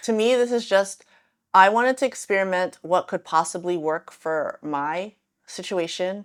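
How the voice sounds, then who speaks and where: On a very clean recording with a silent background, a woman speaks at medium pitch and a moderate pace. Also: ordinary pitch variation. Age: 40s. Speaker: lifestyle vlogger. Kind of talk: casual vlog talk to camera. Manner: animated.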